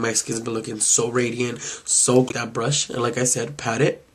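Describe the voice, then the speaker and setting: A man with a medium-pitched voice talks while noticeable background noise carries on. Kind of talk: makeup review talk to camera. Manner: casual.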